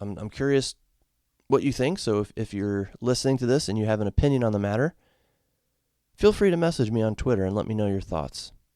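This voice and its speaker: On a very clean recording with a silent background, a man with an American accent speaks very fast at a medium pitch, his dark, mellow tone showing ordinary pitch variation and broken by long, frequent pauses. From Connecticut, US. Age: 40s. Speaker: podcast host, sports fan. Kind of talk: solo podcast commentary. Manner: casual, halting with repetitions.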